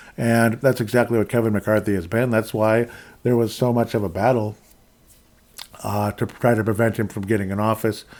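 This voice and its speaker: Talking fairly quickly, a man in an Upper Midwest accent keeps a monotone, flat intonation. His pitch sits in the medium range. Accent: Upper Midwest American. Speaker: podcast host. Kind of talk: political commentary monologue. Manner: casual, filler-heavy.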